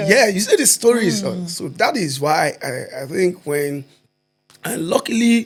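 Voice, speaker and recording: Speaking with a Nigerian accent at a fairly slow pace, a man with a high voice swings very widely in pitch. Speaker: stand-up comedian. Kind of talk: podcast interview answer. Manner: mixes Nigerian Pidgin with English.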